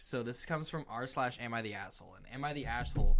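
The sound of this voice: Someone reads in an unforced voice.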